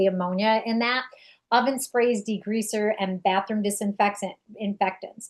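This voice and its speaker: A woman with a New York accent speaks at a fairly high pitch with fairly even intonation. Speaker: direct sales distributor. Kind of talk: product presentation.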